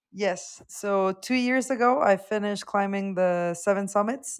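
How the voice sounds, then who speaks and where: The recording is very clean, and the background is silent. A woman talks at a medium pitch with fairly even intonation. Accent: Mexican. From Mexico, León, Guanajuato. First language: Spanish. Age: 20s. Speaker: mountaineer and Arctic explorer. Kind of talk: podcast interview.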